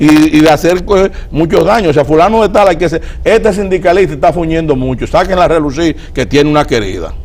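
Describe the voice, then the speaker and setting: A man with a Dominican accent, high pitch, ordinary pitch variation and a fairly quick pace, over noticeable background noise. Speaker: political guest. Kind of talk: TV interview.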